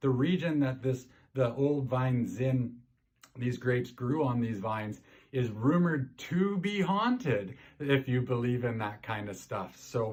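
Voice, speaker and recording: Somewhat breathy and fairly slow, a man in a Canadian accent speaks with ordinary pitch variation. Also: medium pitch for a man. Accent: Canadian farmer. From Canada. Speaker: wine presenter. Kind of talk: wine tasting presentation. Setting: recorded video for virtual event. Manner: animated.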